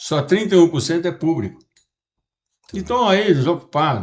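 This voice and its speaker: A man talks with a high voice and lively intonation. His pace is moderate. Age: 70s. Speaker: podcast host and businessman. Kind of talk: casual podcast conversation.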